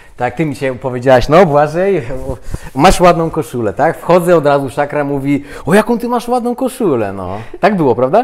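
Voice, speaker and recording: The speaker moves at a fairly quick pace with very wide pitch swings while noticeable background noise runs underneath. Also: man, fairly high pitch for a man. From Poland. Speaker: interview guest. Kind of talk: casual interview chat. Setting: on camera.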